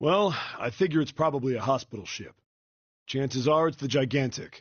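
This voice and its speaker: A man puts on a character voice, raspy and at medium pitch. He talks at a fairly quick pace. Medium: video game. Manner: explanatory, matter-of-fact.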